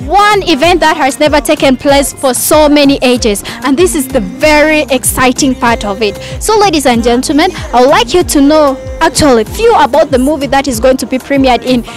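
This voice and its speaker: The recording has a dry sound with no echo and faint music in the background. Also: woman, high pitch for a woman. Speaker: TV presenter. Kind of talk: live event presenting. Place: street. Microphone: handheld.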